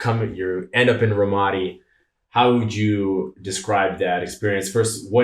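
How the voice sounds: Natural-sounding reading voice, quiet background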